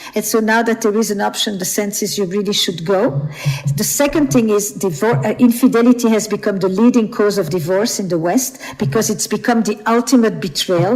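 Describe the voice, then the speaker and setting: A woman with fairly high pitch and lively intonation at a moderate pace, amid noticeable background noise. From Flemish Belgium. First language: Flemish (Dutch). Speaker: author and relationship expert. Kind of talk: podcast interview.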